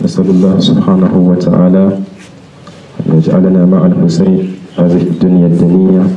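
Very deep, low-pitched man at a fairly slow pace, monotone, flat intonation, audible room echo. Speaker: speaker. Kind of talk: religious address and supplication. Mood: solemn, devotional. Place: street. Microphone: handheld.

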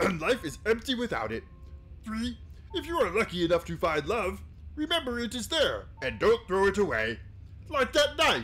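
A put-on character voice speaks at a moderate pace against clear background noise. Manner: Kermit-ish with a Yoda blend.

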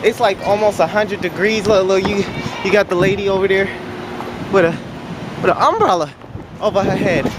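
A man speaks at a moderate pace in a high pitch, with ordinary pitch variation and faint background noise.

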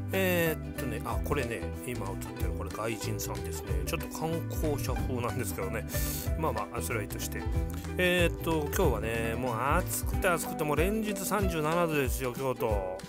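The speech moves at a fairly quick pace, and the sound is dry with no echo. Loud music plays in the background. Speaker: vlogger. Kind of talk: casual video voice-over narration. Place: waterside. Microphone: phone near.

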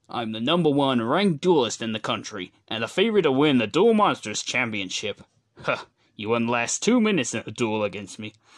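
A man does a cartoonish character voice at medium pitch. He talks at a fairly quick pace. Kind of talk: cartoon character voice impressions. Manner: cold, contemptuous.

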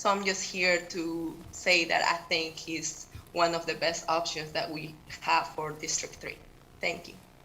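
A woman speaks at a fairly slow pace with a Peruvian accent, her fairly low voice flat and monotone, with audible room echo and noticeable background noise. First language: Spanish. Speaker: teacher and public commenter. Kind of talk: public comment at council meeting. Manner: halting.

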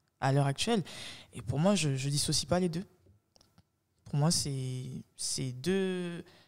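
A woman's very deep, low voice with ordinary pitch variation, at a very slow pace over a quiet background. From France, Paris area (Bondy); Paris. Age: 20s. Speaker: podcast host, legal assistant; podcast guest. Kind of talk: interview conversation. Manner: halting, repeats words. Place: studio. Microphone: studio mic.

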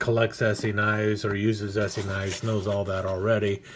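The speaker is a man with a fairly low pitch. He keeps a moderate pace. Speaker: knife hobbyist reviewer. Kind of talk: casual unboxing commentary.

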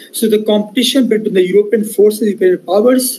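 A man talks with ordinary pitch variation. Light noise runs in the background. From India. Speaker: professor; university lecturer. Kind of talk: lecture. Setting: video call. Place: home room.

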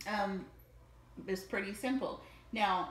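Room echo is audible around a woman's voice. She speaks at a moderate pace. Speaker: user demonstrating accessible smart bed. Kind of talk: casual demonstration and personal account.

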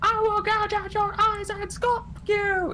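A squeaky, put-on character voice speaks at a fairly slow pace. Clear background noise is heard. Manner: barking, menacing.

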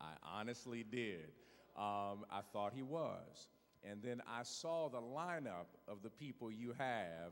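A man talks at a very slow pace with lively intonation. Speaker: guest preacher. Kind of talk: sermon opening remarks. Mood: warm, joking. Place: church. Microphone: handheld.

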